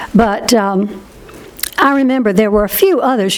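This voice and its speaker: In an American accent, a woman speaks at a fairly slow pace with ordinary pitch variation. Noticeable background noise and audible room echo are present. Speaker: historian. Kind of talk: q and a.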